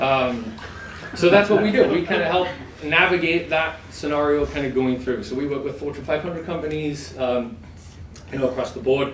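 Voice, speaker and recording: Through audible room echo and noticeable background noise, a man speaks with ordinary pitch variation. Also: fairly high pitch for a man, moderate pace. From England. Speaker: insurance broker, event sponsor. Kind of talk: sponsor speech at event.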